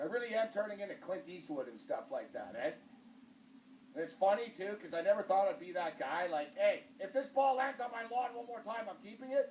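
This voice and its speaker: An animated man with an extremely high voice, lively intonation and big swings in loudness, fairly quick pace, noticeable background noise. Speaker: TV talk show host. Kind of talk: casual chat.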